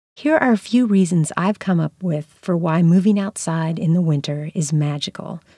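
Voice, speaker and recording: Speaking at a moderate pace with hardly any pauses, a woman with a plain, everyday voice and an American accent uses a fairly low pitch and ordinary pitch variation, the sound dry and close with no echo. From US South (North Carolina, southern Virginia). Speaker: writer and poetry teacher. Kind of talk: lecture.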